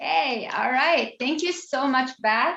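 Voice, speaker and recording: A woman speaks very slowly with a non-native accent. Her tone is bright and sharp. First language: not English. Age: 40s. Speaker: memoirist. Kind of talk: author talk. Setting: video call.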